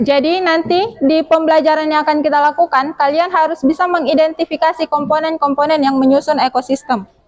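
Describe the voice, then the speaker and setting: A woman speaks very fast in a high pitch, her loudness very even and intonation fairly even, against noticeable background noise. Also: hardly any pauses. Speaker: teacher. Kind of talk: classroom lesson. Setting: classroom.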